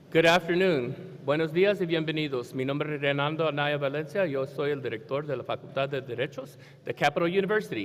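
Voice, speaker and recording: A man with a Spanish accent talks at a very fast pace with hardly any pauses, his fairly high pitch moving with ordinary variation. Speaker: law school dean. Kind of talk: ceremony welcome speech. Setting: stage with audience. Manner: warm, relaxed.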